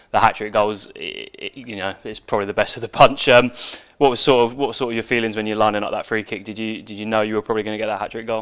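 Fast-paced and fairly low-pitched, a man speaks with a fairly bright, clear, smooth tone and little pitch movement.

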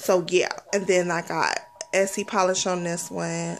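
Speaking at a fairly slow pace, a woman uses a fairly low pitch, fairly even intonation and a playful tone.

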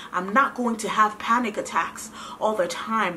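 In an American accent, the speaker uses an animated tone with ordinary pitch variation at a moderate pace, with light background noise behind. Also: woman. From US, Ghanaian parents. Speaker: vlogger. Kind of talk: testimony. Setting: home video recording. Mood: earnest, emotional, grateful. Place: home room.

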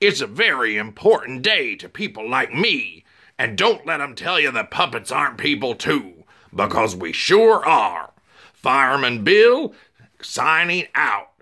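Using a put-on character voice, a man talks at a moderate pace and fairly high pitch.

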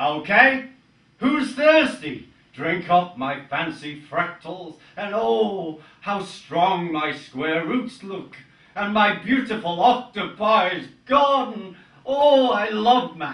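A man uses a put-on character voice with a high pitch. He speaks very slowly, with slight echo. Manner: exuberant, theatrical.

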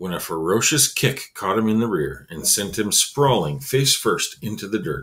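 An unforced reading voice with lively, bouncing intonation

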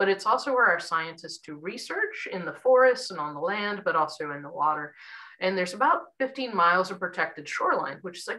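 Lively intonation at a fairly quick pace against a quiet background. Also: woman. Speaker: environmental educator. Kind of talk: lecture. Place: home room. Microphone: webcam.

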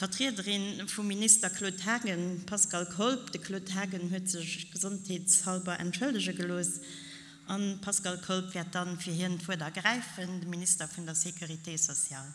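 At a moderate pace and a medium pitch, a woman speaks in a plain, everyday voice with fairly even intonation. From Luxembourg. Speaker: local politician. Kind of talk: formal speech. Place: hall. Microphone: podium.

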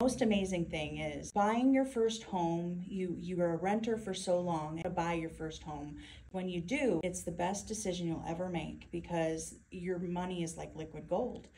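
A woman's fairly low voice, dark and mellow in tone, with ordinary pitch variation, a moderate pace and light background noise. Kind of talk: testimonial interview answer. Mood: proud and earnest. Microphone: phone near.

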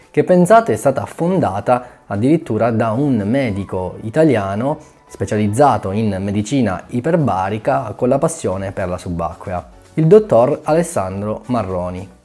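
A man speaks at a moderate pace. Faint music plays behind him. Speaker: diving vlogger. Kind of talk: informative vlog explanation. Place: home room. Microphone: lapel.

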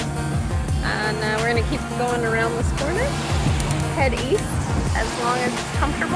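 A woman talks at a moderate pace over loud background music. The sound is dry, with no echo. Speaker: sailing vlogger. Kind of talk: casual vlog chat. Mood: cheerful, pleased. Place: boat. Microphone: phone near.

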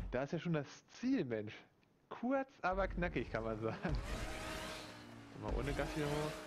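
Very slow and very even in loudness, a man speaks. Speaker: gaming YouTuber. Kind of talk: gameplay commentary. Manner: animated.

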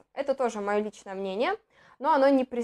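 The tone is animated, with ordinary pitch variation. Behind the voice, the background is quiet. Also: woman. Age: 20s. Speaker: beauty blogger and cosmetics distributor; beauty blogger. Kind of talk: product review. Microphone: lapel.

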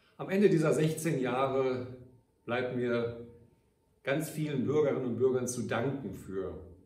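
Amid audible room echo, a man speaks at a fairly slow pace in a medium pitch with ordinary pitch variation. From Ruhr area, Germany (Gelsenkirchen); Germany. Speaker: mayor. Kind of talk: farewell address to citizens. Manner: formal. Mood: warm, grateful, measured. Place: office.

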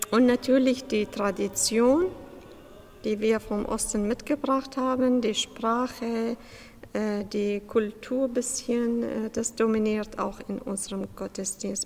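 Very slow delivery from a woman, her pitch fairly high and her pitch variation ordinary. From Iraq. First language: Aramaic/Chaldean or Arabic (speaking German). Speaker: church subdeacon. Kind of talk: interview. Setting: church.

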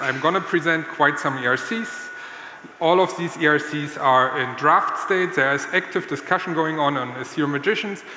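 At a moderate pace and with ordinary pitch variation, a man speaks amid light background noise and audible room echo. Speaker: conference speaker. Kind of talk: conference talk. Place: stage. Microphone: handheld.

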